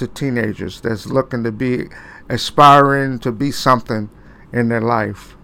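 Bright, sharp male voice with an American accent, fairly slow, with ordinary pitch variation. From Cleveland, Ohio. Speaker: pastor and radio host. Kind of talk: casual interview.

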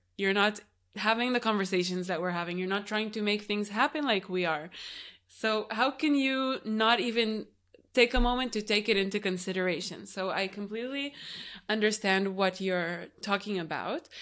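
A woman speaks in an unremarkable speaking voice at a medium pitch and moderate pace, with ordinary pitch variation. The recording is very clean, with a silent background. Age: 20s. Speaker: podcast host, yoga teacher. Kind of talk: interview conversation. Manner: laughs often.

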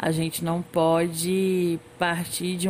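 Her voice is fairly low-pitched for a woman. The intonation stays monotone and flat. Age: 20s. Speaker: former social work student, master's graduate. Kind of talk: interview.

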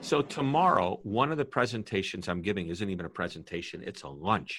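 An unremarkable speaking voice from a man, fairly low in pitch, with an American accent at a fairly quick pace, on a very clean recording with a silent background. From US Midwest, St. Louis, Missouri. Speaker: customer service author and keynote speaker. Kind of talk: interview conversation.

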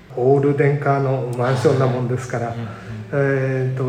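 A man's monotone, flat delivery amid noticeable background noise and audible room echo. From Japan, Sendai area. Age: 70s. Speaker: community welfare council chair, retired civil servant. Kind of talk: interview. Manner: halting, many fillers.

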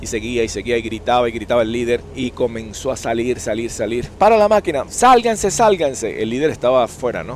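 Noticeable background noise runs under the recording. A man talks very fast at a medium pitch with lively intonation. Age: 60s. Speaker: YouTube storyteller. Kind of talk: storytelling monologue.

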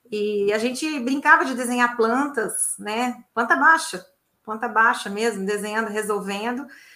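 Here a woman speaks at a high pitch with ordinary pitch variation. Her tone is bright and sharp. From Minas Gerais, Belo Horizonte. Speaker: civil engineer, facade consultant. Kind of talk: interview. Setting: video call.

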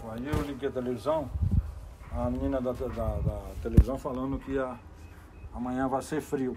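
A man speaks at a medium pitch. He leaves long, frequent pauses. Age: 50s. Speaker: business owner. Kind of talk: casual interview.

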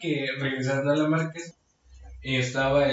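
A man speaks with a Mexican accent at a medium pitch. His intonation is monotone and flat. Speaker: podcast co-host. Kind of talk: casual chat.

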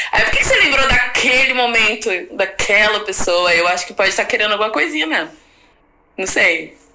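Fairly high in pitch, a woman speaks at a fairly quick pace with lively intonation, amid noticeable background noise and audible room echo. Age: 30s. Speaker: rapper and songwriter. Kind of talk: casual chat.

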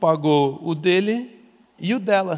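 A man speaks with a high pitch. His pitch varies an ordinary amount. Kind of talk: casual chat.

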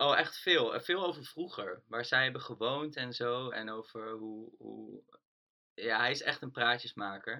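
A man talks at a fairly slow pace, with big swings in loudness. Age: 20s. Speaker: band lead singer. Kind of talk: casual interview. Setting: remote call.

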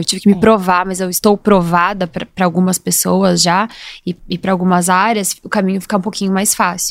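In a dry, close sound with no echo, a woman talks at a fairly quick pace with monotone, flat intonation. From Brazil, Curitiba (Paraná). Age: 30s. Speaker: entrepreneur, former lawyer. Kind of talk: casual interview. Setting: studio.

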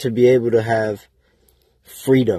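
This man's voice has some breathiness to it. His tone is dark and mellow. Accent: American. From Waterbury, Connecticut. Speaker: aspiring entrepreneur podcaster. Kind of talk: casual monologue. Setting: in a car. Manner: halting, many fillers.

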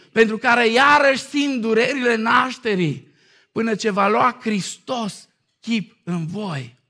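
A man's extremely high, raised, projected voice with a bright, sharp tone, lively intonation and a fairly slow pace. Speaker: pastor. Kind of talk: sermon. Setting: church.

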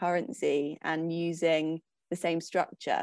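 A woman is speaking. She has an English accent. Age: 20s. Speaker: dancer and writer. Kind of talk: casual chat.

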